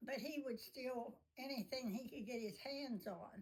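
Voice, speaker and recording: This woman has a high pitch and ordinary pitch variation. She speaks at a fairly slow pace. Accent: American. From Ohio, US Midwest/Appalachian Ohio. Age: 80s+. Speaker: elderly woman sharing life story. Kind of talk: oral history interview. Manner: halting, with self-corrections.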